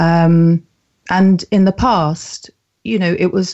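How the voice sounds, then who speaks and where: A woman speaks with a southern English accent. Her pitch is fairly low. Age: 50s. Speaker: mental health campaigner and author. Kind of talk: interview.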